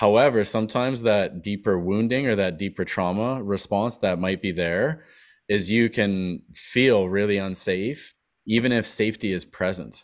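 A man with a plain, everyday voice talks at a moderate pace, his pitch fairly low with ordinary variation. The recording is very clean, with a silent background. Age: 40s. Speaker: wellness event facilitator. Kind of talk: casual chat.

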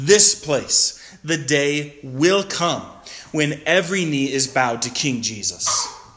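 The speaker has an American accent and a fairly slow pace. There is audible room echo along with noticeable background noise. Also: man. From Montana. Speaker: guest pastor. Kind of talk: sermon.

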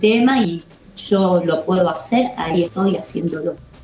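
A woman speaks at a fairly slow pace with a medium pitch and ordinary pitch variation over noticeable background noise. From Córdoba, Argentina. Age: 50s. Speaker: actress and musician, theater teacher. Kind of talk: interview. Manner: hesitant, many fillers.

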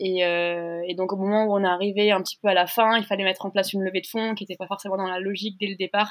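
Very fast and with hardly any pauses, a woman speaks at medium pitch. Her intonation is monotone and flat. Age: 20s. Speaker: startup founder. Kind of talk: interview testimony. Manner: hesitant, many fillers.

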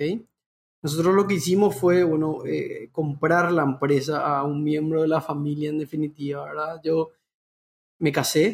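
This man speaks at a moderate pace in a fairly high pitch, his intonation monotone and flat. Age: 30s. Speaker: entrepreneur. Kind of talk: interview.

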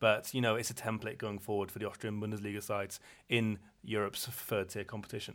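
On a very clean recording with a silent background, a man with an English accent talks at a very fast pace. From England. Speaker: football podcast co-host. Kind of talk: casual chat. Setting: hotel room.

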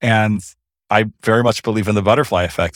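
A man with an American accent and a normal speaking voice, fairly low-pitched, at a fairly quick pace, in a very clean recording with a silent background. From US, Los Angeles. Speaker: lawyer. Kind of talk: interview.

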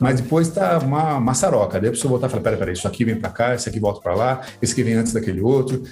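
A man talks at a very fast pace and a medium pitch, with audible room echo and music in the background. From Brazil, Sorocaba, São Paulo state. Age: 50s. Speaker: author. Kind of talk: casual chat.

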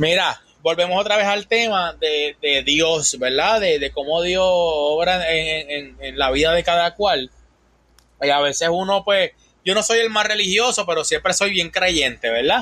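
Speaking in a Puerto Rican accent, a man uses a high pitch at a fairly slow pace, with ordinary pitch variation and very even loudness. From Puerto Rico. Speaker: van-life content creator. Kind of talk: casual chat.

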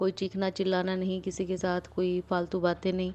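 A woman talks in a dark, mellow tone. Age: 30s. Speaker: doctor and government employee sharing her mental health story. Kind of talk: personal testimony. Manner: halting, many pauses and fillers.

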